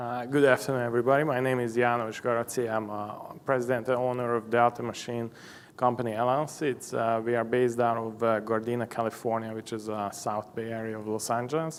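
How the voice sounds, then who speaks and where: A man's medium-pitched voice in a Hungarian accent, fairly quick and monotone, with flat intonation. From Hungary. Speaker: machine shop owner. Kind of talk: conference presentation. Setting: stage with audience. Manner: halting, many fillers.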